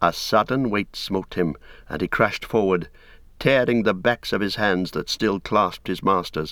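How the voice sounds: Ordinary pitch variation runs through a natural reading voice.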